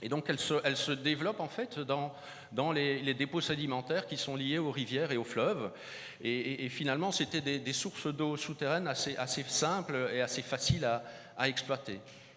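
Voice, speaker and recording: A man speaks at a moderate pace with ordinary pitch variation. His tone is bright and sharp. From southern France, Montpellier. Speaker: hydrogeology researcher. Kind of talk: conference keynote. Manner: halting, many repetitions and hesitations.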